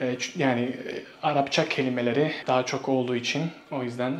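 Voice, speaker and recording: Medium pitch from a male speaker, noticeable noise in the background. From Bosnia and Herzegovina. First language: Bosnian (speaking Turkish). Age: 20s. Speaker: Turkish language teacher. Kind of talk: interview. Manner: hesitant with fillers.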